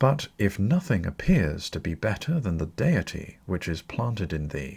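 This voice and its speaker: With a fairly low pitch and very wide pitch swings, a man speaks in a somewhat breathy voice. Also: moderate pace. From British. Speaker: audiobook narrator. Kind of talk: audiobook reading of classical philosophy.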